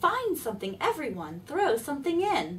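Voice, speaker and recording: This is a put-on character voice with very wide pitch swings. Clear background noise runs underneath. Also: woman. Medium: read story.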